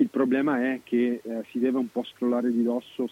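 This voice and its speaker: This man talks at a moderate pace with a medium pitch and a dark, mellow tone, recorded with a dry, close sound and no echo. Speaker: football pundit. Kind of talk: casual chat. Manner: lively.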